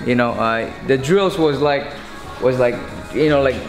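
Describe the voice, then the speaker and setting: A man talks while clear music plays behind him. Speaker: boxing coach. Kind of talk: interview answer. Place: gym.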